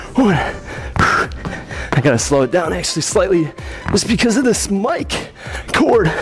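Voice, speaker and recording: Faint music sits in the background as a man talks. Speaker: fitness trainer. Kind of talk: workout instruction, counting reps. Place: gym. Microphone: lapel.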